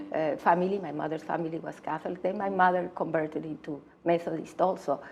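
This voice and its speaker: The delivery is very fast with fairly even intonation. Noticeable background noise runs underneath. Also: woman. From northern Mexico (Torreón, Coahuila). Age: 70s. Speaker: poet. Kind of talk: interview. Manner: halting.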